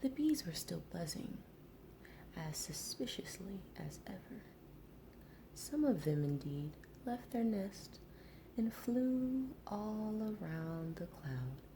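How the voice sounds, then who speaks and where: The speaker is soft-spoken, whispering at a very slow pace. Long, frequent pauses break up the words. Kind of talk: storybook narration read aloud. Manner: whispered, soft.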